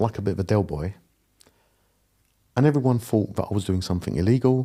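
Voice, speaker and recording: A man speaks very fast with a fairly low pitch. His tone is dark and mellow, and his pitch varies in an ordinary way. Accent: Cockney. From East London. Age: 50s. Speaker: property investor. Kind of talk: podcast interview. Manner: animated.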